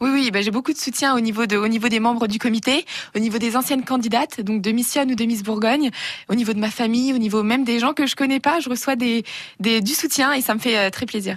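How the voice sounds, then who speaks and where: Against noticeable background noise, a woman talks very fast in a fairly high voice, with fairly even intonation and very even loudness. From Burgundy, France (Auxerre). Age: young. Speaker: beauty pageant winner. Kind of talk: radio interview.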